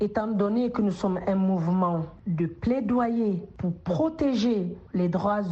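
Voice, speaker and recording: A woman's pitch is medium. She talks at a very slow pace. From Guinea. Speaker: social entrepreneur and politician. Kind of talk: radio interview. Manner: hesitant with frequent fillers.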